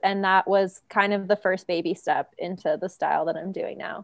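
A woman speaks with an American accent in an ordinary speaking voice. Her pitch is medium, her intonation fairly even, and her pace moderate. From Venezuela, raised partly in US East Coast. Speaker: artist and muralist. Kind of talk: casual interview chat.

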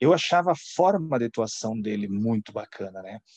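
A man speaks at a fairly slow pace in a dark, mellow tone. The sound is dry and close, with no echo. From Santa Catarina, southern Brazil. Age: 40s. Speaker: former finance executive. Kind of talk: interview.

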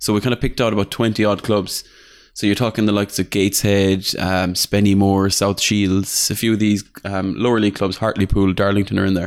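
A man with an Irish accent talks at a fairly quick pace and a fairly low pitch. The recording is very clean, with a silent background. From Ireland. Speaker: football video game podcaster. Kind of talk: casual chat.

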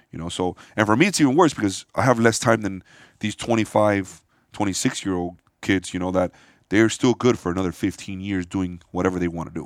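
An unremarkable speaking voice, a man's, sits fairly low in pitch with ordinary variation and an American accent on a very clean recording with a silent background. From Miami, Florida. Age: 40s. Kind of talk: casual chat.

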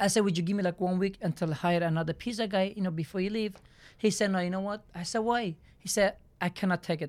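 A woman at medium pitch with a Turkish accent, very fast pace and fairly even intonation, in a very clean recording with a silent background. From southeastern Turkey. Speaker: pizzeria business owner. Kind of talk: casual interview, telling life story. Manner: halting, broken English.

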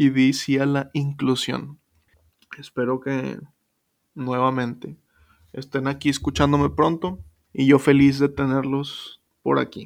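In a Mexican accent, a man speaks at a fairly high pitch with monotone, flat intonation. He goes at a very slow pace with long, frequent pauses. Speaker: podcast host. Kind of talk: casual monologue. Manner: casual, slangy.

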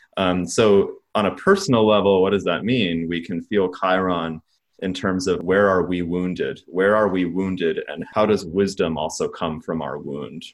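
Very deep, low male speech with fairly even intonation, at a moderate pace. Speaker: astrologer and artist, podcast host. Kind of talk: casual podcast conversation.

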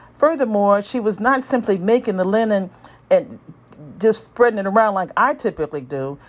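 A woman's fairly high voice with lively intonation, an unremarkable speaking voice. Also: moderate pace. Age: 60s. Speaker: emergency room physician. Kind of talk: scripted narration. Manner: formal.

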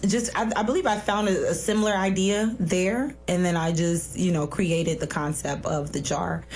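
With an American accent, a woman with a fairly low voice speaks at a moderate pace with ordinary pitch variation while music plays in the background. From South Florida, US. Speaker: author.

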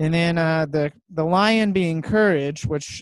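At a fairly slow pace, a man with a normal speaking voice uses ordinary pitch variation, and the sound is dry and close with no echo. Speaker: podcast host. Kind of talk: casual interview chat.

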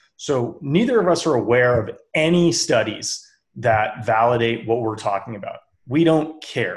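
A man speaks in a medium pitch. His voice is somewhat breathy. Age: 30s. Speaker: podcast co-host, athlete. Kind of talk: casual chat. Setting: live stream.

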